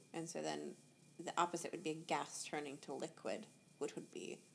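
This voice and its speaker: A woman with an American accent talks at a moderate pace. Her speech has long, frequent pauses. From USA. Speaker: magician. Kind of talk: casual chat.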